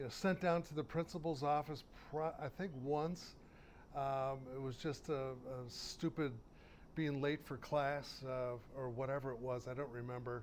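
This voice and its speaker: A man talks with an American accent at a fairly high pitch. His pace is fairly slow and his intonation fairly even. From Western New York (Town of Tonawanda, near Buffalo). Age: 60s. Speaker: TV wine show host and entrepreneur. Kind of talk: casual interview.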